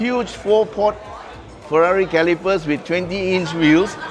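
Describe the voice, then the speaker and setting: A man talks at a moderate pace with ordinary pitch variation. Clear music plays in the background. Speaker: car reviewer. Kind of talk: walkaround review commentary. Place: hall. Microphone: phone near.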